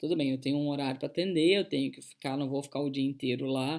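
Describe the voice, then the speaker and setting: A woman speaks with a very deep, low pitch. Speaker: coach. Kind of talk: online talk. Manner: fast; animated.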